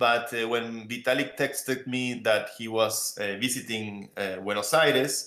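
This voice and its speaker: Bright and sharp in tone, a man with an Argentine accent speaks at a fairly slow pace, with medium pitch and ordinary pitch variation. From Argentina. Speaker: crypto project founder. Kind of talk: panel interview. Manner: many fillers and repetitions.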